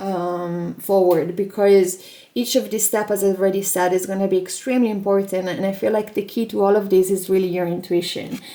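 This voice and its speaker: A woman speaks at a fairly quick pace with hardly any pauses. Her tone is dark and mellow, at a medium pitch. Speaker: tarot reader. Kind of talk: tarot reading video. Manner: animated.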